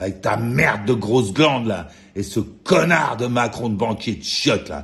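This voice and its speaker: Here a man with a fairly low pitch speaks with lively intonation. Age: 60s. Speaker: vlogger. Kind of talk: angry rant. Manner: agitated; halting with repetitions.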